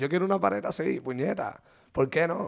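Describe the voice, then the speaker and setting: Recorded very cleanly against a silent background, a man with a fairly high pitch and vocal fry talks at a fairly quick pace, his pitch swinging very widely. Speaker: podcast co-host. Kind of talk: casual chat.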